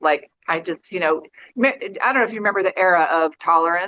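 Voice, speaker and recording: An ordinary speaking voice from a woman, fairly low in pitch, with ordinary pitch variation. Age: 60s. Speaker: yoga student. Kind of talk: casual chat. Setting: video call.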